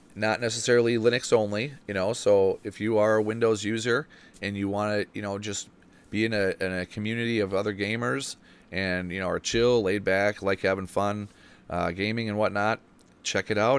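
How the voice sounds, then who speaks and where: The recording is very clean, with a silent background. A man speaks at a fairly low pitch and a moderate pace, with fairly even intonation. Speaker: podcast host. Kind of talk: live-streamed podcast chat. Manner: loud.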